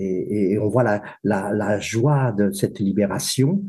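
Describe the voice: Fairly low in pitch, a man speaks at a fairly slow pace with a dark, mellow tone and a slightly husky edge. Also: ordinary pitch variation.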